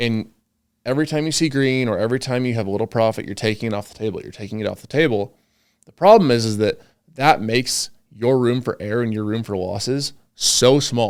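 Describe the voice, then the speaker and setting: A normal speaking voice with big swings in loudness and ordinary pitch variation. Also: man, medium pitch for a man. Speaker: trading educator. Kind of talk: interview host conversation.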